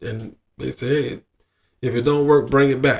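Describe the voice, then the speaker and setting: The speech is mumbled. Its intonation stays fairly even. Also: man. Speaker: expat sharing experiences abroad. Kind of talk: casual monologue. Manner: mumbling; halting, repetitive.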